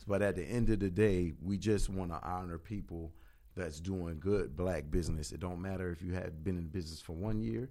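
In a room with audible echo, a man with a very deep, low pitch and a dark, mellow tone speaks at a fairly quick pace with ordinary pitch variation. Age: 40s. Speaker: entrepreneur and event organizer. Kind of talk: casual interview.

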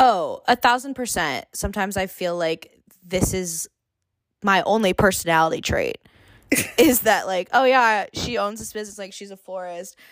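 Recorded very cleanly with a silent background and a dry, close sound with no echo, a woman with a Californian accent speaks at medium pitch and a moderate pace, her tone animated, her pitch variation ordinary and her loudness swinging widely. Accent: Californian American. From Long Beach, California. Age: 20s. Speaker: florist and small business owner. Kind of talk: casual interview chat. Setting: home recording with headphones.

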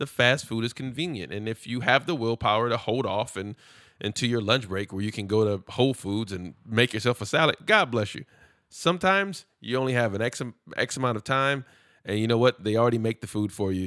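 A man with an American accent speaks at a medium pitch and a fairly quick pace, his tone bright and sharp with ordinary pitch variation. The sound is dry and close with no echo, a very clean recording with a silent background. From Los Angeles, California. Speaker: podcast co-host. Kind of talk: casual chat.

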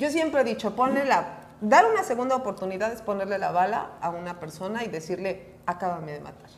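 A woman with a Mexican accent talks at a fairly quick pace and medium pitch, with hardly any pauses and lively intonation. Her loudness swings widely, and there is noticeable background noise. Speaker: recovery speaker and counselor. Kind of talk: casual chat.

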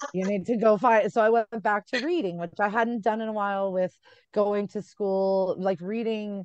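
Dry and close with no echo, a woman's medium-pitched voice moves at a fairly slow pace with ordinary pitch variation. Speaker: author. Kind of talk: casual chat. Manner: animated.

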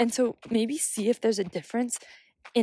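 A normal speaking voice from a woman with an American accent, moderate in pace, ordinary in pitch variation, dry and close with no echo. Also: very clean recording, silent background. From United States. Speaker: podcast host, writer and wellness advocate. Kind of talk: solo casual talk. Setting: outdoors on a bench.

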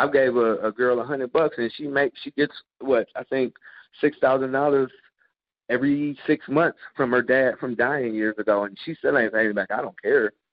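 His intonation stays fairly even at a moderate pace. The man has a normal speaking voice. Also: medium pitch for a man. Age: 30s. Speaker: adult entertainer and fitness trainer. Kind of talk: interview. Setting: gym.

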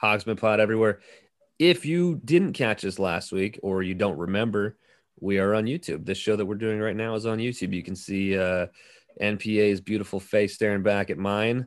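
Over a quiet background, a man with an ordinary speaking voice talks at a moderate pace, his fairly low pitch showing ordinary variation. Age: 30s. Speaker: podcast host and pro wrestler. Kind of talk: casual chat. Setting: video call from a garage.

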